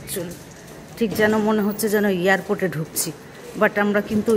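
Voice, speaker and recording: A woman with a fairly high-pitched voice speaks over noticeable background noise. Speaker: mother of the channel owner, visiting from India. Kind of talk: casual talk to camera, travel vlog narration. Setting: outdoors, walking to a ferry terminal.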